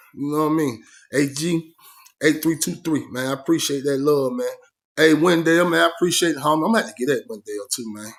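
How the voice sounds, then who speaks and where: Speaking at a fairly quick pace, a man with an American accent has a fairly high pitch and ordinary pitch variation. The recording is very clean, with a silent background. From Georgia, US South. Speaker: ex-prisoner YouTuber telling prison stories. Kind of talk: casual vlog storytelling and viewer shout-outs. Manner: laid-back, filler-heavy ('man').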